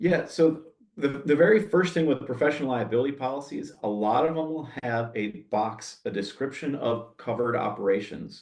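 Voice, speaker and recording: A man's normal speaking voice, fairly high in pitch, at a moderate pace with lively intonation and hardly any pauses. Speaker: insurance agent and former arborist. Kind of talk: Q&A answer; webinar presentation. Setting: webinar.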